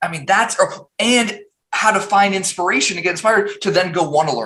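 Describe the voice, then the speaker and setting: Raising and projecting his high voice, a man speaks at a fairly quick pace with ordinary pitch variation and big swings in loudness. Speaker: tech founder and CEO. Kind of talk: interview conversation.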